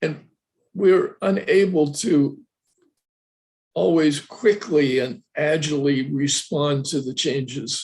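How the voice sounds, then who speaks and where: A somewhat breathy man's voice, fairly high in pitch, at a very slow pace with long, frequent pauses and ordinary pitch variation. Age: 80s+. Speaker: professor emeritus, Buddhist studies lecturer. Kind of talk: lecture Q&A answer. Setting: online video lecture.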